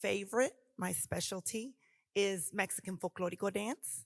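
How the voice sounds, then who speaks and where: In a very clean recording with a silent background and a dry, close sound with no echo, a woman speaks fairly slowly in an American accent. Her medium-pitched voice has vocal fry and lively intonation. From Oklahoma. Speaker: dance teacher. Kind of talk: panel discussion.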